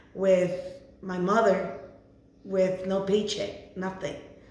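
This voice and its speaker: A woman speaks in a Spanish accent at a fairly slow pace, her intonation monotone and flat. Room echo is audible, and background noise is noticeable. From Mexico, Ciudad Juarez, Chihuahua; US from age 12. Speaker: hairstylist, Navy veteran. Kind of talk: interview. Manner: halting, with fillers.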